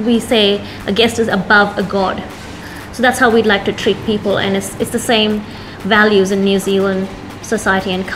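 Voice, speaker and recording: Over noticeable background noise, a woman speaks at a moderate pace in a monotone, flat intonation. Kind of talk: interview answer. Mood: warm, proud. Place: cafe. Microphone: lapel.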